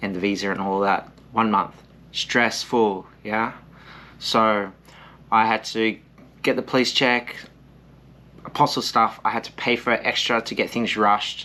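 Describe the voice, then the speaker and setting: A man with an Australian accent speaks at a fairly low pitch and a moderate pace. His tone is bright and sharp, his intonation monotone and flat. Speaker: English teacher and vlogger. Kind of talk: casual vlog with eating, advice.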